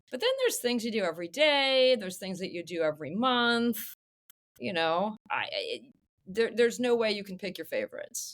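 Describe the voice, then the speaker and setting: A woman with an unremarkable speaking voice, fairly high pitch, lively intonation, and a fairly quick pace. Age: 50s. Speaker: longevity medicine physician. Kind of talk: podcast interview.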